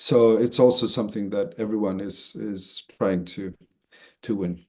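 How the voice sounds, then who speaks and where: A man with a Swedish accent and a dark, mellow tone, at a moderate pace with ordinary pitch variation, over a quiet background. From Sweden. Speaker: association chief executive. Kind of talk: webinar interview. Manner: halting, many fillers and repeats.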